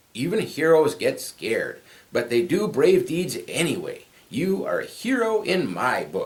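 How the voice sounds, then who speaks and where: A man's put-on character voice, growling and high-pitched, at a moderate pace. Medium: read story.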